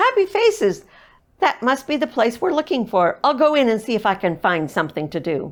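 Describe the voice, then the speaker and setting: Putting on a character voice, a woman talks at a fairly quick pace with a high pitch and very wide pitch swings. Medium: read story.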